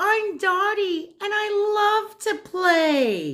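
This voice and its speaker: A woman puts on a squeaky character voice at an extremely high pitch, speaking very slowly. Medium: read story. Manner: bubbly, energetic.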